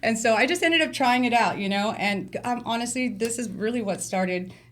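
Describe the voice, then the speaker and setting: Speaking with an American accent, a woman has a fairly high pitch and ordinary pitch variation. She goes at a fairly quick pace, and there is audible room echo. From Bay Area, California (Vallejo). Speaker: glass artist. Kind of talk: interview.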